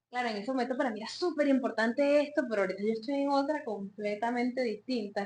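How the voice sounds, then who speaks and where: A high-pitched woman speaks at a very fast pace with hardly any pauses. Her pitch varies in an ordinary way. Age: late 20s. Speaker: psychologist and podcast co-host. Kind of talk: casual chat.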